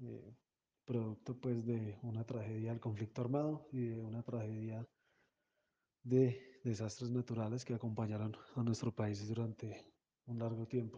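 A man speaks at a medium pitch in a dark, mellow, somewhat breathy tone. His delivery is fairly slow and monotone, with long, frequent pauses. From Colombia. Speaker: music organization founder. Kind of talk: interview.

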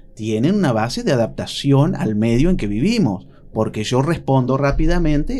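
A man speaks at a moderate pace and medium pitch, with a dark, mellow tone and lively intonation. Audible room echo is present. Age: 40s. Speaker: psychologist. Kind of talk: radio interview.

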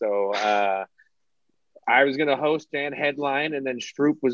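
A man's unremarkable speaking voice at a moderate pace, with fairly even intonation and a dry, close sound with no echo. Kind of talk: casual comedy podcast chat.

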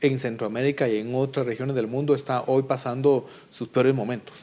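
At a moderate pace, a man talks in an unremarkable speaking voice. His pitch is fairly high. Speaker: political analyst. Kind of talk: panel debate.

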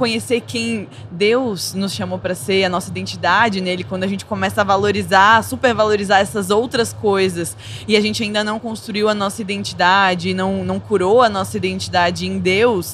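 Hardly pausing at all, a woman talks at a moderate pace, with audible room echo and noticeable background noise. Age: 20s. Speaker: psychologist. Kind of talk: casual chat.

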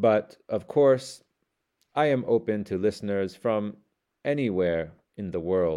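At a fairly slow pace with long, frequent pauses, a man speaks in a fairly low-pitched voice with a dark, mellow tone. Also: ordinary pitch variation. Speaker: English learning podcaster. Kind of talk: scripted monologue for shadowing practice. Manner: slow, deliberate reading.

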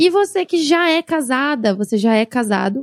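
Her voice is high-pitched for a woman and moves in very wide pitch swings. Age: 30s. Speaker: podcast host. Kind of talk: personal monologue podcast.

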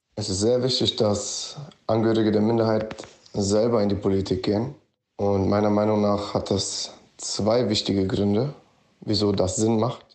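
Audible room echo accompanies a man's fairly low voice at a moderate pace. His loudness is very even and his intonation monotone and flat. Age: 20s. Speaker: student and Roma rights activist. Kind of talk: interview statement.

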